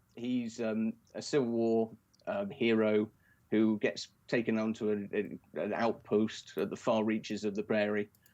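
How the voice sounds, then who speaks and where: This man's intonation is monotone and flat. His words come at a fairly slow pace. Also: medium pitch for a man. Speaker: poster artist. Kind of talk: casual interview chat. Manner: halting, many fillers.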